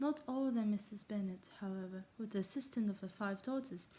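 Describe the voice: The clip features plain reading aloud, its pitch varying in an ordinary way.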